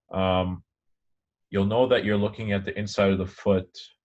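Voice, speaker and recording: Against a quiet background, a man with a fairly low pitch speaks at a fairly quick pace in a monotone, flat delivery. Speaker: anatomy lecturer. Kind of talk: lecture. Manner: fast.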